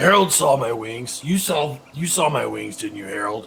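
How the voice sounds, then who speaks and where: Putting on a character voice, a man speaks at a moderate pace. His medium-pitched voice comes out raspy. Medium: actual play. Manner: excitable, boastful.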